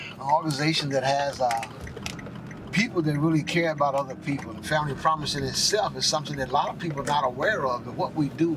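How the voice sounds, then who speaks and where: A man speaks very fast at a fairly high pitch with fairly even intonation, and there is noticeable background noise. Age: 70s. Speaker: homeless shelter van driver. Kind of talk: interview.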